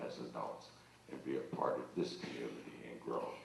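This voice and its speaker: A man with an American accent talks at a moderate pace. Noticeable background noise and audible room echo are present. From northern Ohio, Youngstown. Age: 70s. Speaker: school board candidate. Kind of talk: campaign speech.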